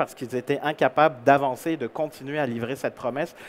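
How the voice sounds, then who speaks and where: Speaking with a Canadian French accent, a man uses a fairly high pitch, ordinary pitch variation and a moderate pace. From Canada. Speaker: keynote speaker, employer branding consultant. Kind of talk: conference keynote. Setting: stage with audience.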